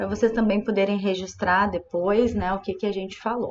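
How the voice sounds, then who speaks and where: Speaking with a southern Brazilian accent, a woman shows ordinary pitch variation. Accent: gaúcho Brazilian Portuguese. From southern Brazil, Rio Grande do Sul. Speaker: psychologist. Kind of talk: informal presentation to students.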